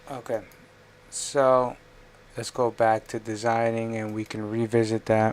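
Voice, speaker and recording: Soft-spoken delivery at a fairly slow pace. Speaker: livestreamer doing 3D design. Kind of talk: live stream commentary while working. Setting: live stream screen share.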